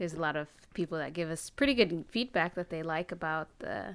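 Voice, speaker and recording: In a very clean recording with a silent background, a woman with a normal speaking voice talks at a fairly quick pace and fairly low pitch. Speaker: podcast co-host. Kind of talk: casual chat.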